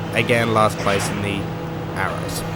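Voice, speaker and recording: Someone with an Australian accent speaks at a moderate pace over noticeable background noise. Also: man. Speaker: gaming commentator. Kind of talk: let's play video game commentary. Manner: casual, hesitant with fillers.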